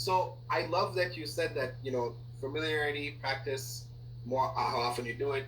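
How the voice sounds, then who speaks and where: A man at a moderate pace with fairly even intonation, amid audible room echo and noticeable background noise. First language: not English. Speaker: corporate trainer. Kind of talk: casual chat. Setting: audio recording with colleague.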